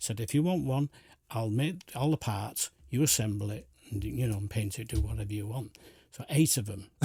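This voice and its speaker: A man speaks with lively intonation in a dark, mellow, somewhat breathy voice. The recording is very clean, with a silent background. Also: medium pitch for a man, moderate pace. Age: 70s. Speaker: community volunteer, retired engineer. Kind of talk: radio interview. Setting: radio studio.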